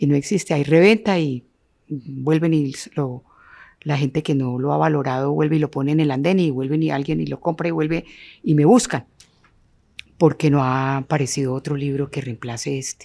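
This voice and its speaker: At a moderate pace, a woman speaks with a very deep, low pitch, a dark, mellow tone and ordinary pitch variation. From Colombia, Norte de Santander (Ocaña); raised largely in Quindío. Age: 70s. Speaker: architect and urban planner. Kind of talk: interview conversation.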